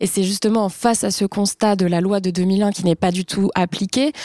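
At a moderate pace, a woman with a medium pitch and a dark, mellow tone speaks with fairly even intonation in a dry, close recording with no echo. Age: 30s. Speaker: journalist and author. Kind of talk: panel discussion.

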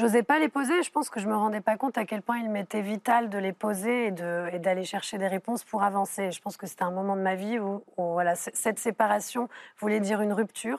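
An unremarkable speaking voice from a woman at medium pitch, with ordinary pitch variation, hardly any pauses, and a dry, close sound with no echo. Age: young. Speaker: filmmaker. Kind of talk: TV panel discussion. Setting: TV studio.

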